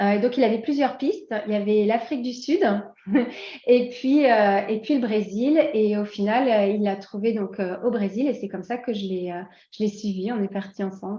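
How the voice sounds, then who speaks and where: A fairly high-pitched woman talks at a moderate pace with ordinary pitch variation. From France. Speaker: expatriate guest. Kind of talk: interview. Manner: hesitant, many fillers.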